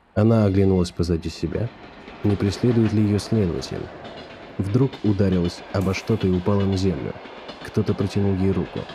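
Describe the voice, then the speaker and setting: A man speaks in a somewhat breathy, fairly low voice with a dark, mellow tone. His delivery is calm and dramatic, with fairly even intonation at a moderate pace. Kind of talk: audiobook narration, literary reading. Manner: measured, storytelling pace, calm; tense, suspenseful build with dramatic narration.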